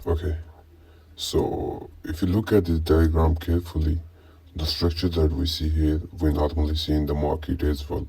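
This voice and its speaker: Somewhat breathy, a man with a very deep, low pitch and a dark, mellow tone speaks in a monotone, flat intonation at a moderate pace. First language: not English. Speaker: trading teacher. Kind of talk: tutorial.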